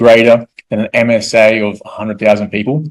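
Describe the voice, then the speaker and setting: A man talks with an Australian accent. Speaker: real estate investor. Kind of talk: presentation. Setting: evening presentation to an audience. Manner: repetitive, with filler words.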